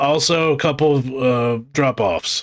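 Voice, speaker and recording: A man's put-on character voice at a medium pitch. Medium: actual play. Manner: hesitant, stumbling.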